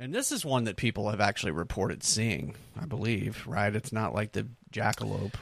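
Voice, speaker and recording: A man with an American accent speaks at a fairly quick pace in a fairly low pitch with vocal fry. His intonation is lively. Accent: southern US, stronger when drinking. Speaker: podcast host. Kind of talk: casual banter.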